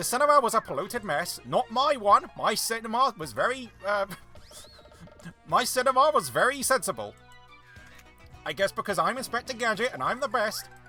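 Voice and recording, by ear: Over music in the background, a strained, fairly high-pitched character voice is put on at a moderate pace with long, frequent pauses.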